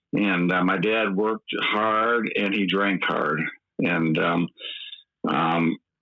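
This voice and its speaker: Speaking very slowly in a Midwestern accent, a man keeps a fairly low pitch, fairly even intonation and very even loudness. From eastern Michigan, US Midwest. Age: 50s. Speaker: recovering alcoholic guest. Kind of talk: personal testimony.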